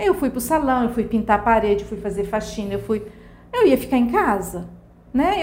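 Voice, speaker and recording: Very wide pitch swings run through speech delivered at a fairly quick pace. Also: woman. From Brazil, Mato Grosso do Sul. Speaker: hair salon owner. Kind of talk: interview.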